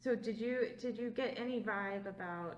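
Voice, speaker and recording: A woman at a fairly slow pace. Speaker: museum oral history interviewer. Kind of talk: interviewer questions.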